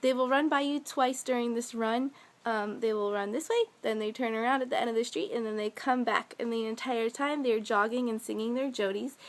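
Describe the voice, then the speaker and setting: A woman speaks at a fairly quick pace with a high pitch and fairly even intonation. She takes hardly any pauses. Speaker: vlogger, military girlfriend. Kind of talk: casual vlog talk. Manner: fast.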